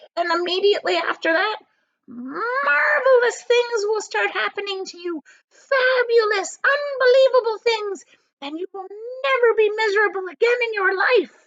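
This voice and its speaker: A woman puts on a squeaky character voice at an extremely high pitch, talking at a moderate pace. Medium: read story. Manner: secretive, intense.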